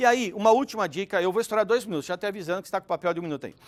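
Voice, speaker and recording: Talking at a very fast pace, the man uses a high pitch with ordinary pitch variation. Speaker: speaker at a business talk event. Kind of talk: conference talk. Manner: animated.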